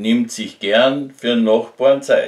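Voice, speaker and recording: With a Carinthian accent, a man talks very slowly and with very wide pitch swings, with audible room echo and a quiet background. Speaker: amateur poet. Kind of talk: poetry reading. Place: home room. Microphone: phone near.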